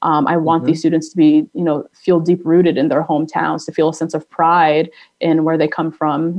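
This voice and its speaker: A woman with an American accent talks at a fairly quick pace with hardly any pauses, using a fairly low pitch and fairly even intonation. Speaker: nonprofit executive director. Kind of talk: interview. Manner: hesitant, many fillers.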